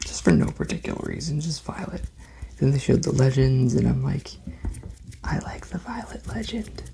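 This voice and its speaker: Someone soft-spoken talks at a moderate pace. Noticeable background noise runs underneath. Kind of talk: soft-spoken rambling talk to camera, ASMR.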